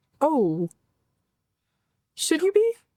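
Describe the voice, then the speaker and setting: A squeaky, female-sounding put-on character voice is pitched extremely high. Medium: actual play. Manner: quiet, dreamy.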